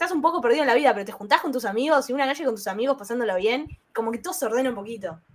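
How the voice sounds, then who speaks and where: A woman speaks in a Rioplatense accent. Her intonation is lively. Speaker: podcast co-host. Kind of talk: casual chat.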